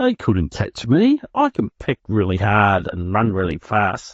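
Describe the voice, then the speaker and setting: Somewhat breathy, a man with a fairly low voice speaks at a fairly slow pace. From Australia. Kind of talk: children's story reading for English learners.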